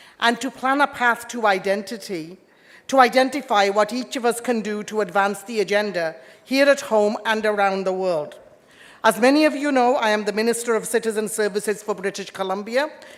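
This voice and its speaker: A woman with an Indian accent speaks at a fairly high pitch, with ordinary pitch variation. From England, born in India. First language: Indian language. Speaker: politician. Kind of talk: formal speech.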